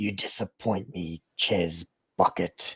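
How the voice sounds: This is a put-on character voice, growling, raspy and guttural. It moves at a fairly slow pace. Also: man.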